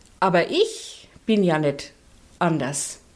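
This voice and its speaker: Lively intonation from a woman at a medium pitch. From Nuremberg, Franconia. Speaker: social worker, longtime communist party member. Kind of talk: personal testimony interview.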